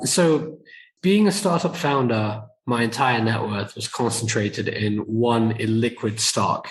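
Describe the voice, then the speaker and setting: A man's medium-pitched, somewhat breathy voice in a British accent, fairly slow, with lively intonation. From UK. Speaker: entrepreneur and investor. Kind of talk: podcast interview.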